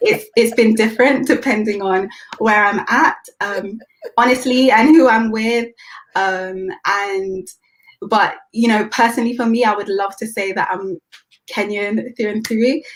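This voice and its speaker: This voice has a British accent and ordinary pitch variation. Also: woman, fairly high pitch for a woman, fairly slow pace. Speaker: youth leader. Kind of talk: interview.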